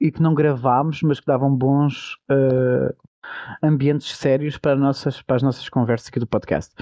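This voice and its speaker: The voice moves at a moderate pace in a monotone, flat intonation. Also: man. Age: 30s. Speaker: podcast co-host, nurse. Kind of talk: casual chat.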